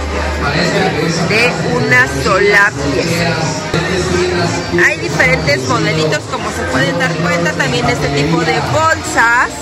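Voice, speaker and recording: Loud music fills the background while the speech goes at a very slow pace. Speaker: shopping vlogger. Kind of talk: casual vlog chat. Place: shop. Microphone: phone near.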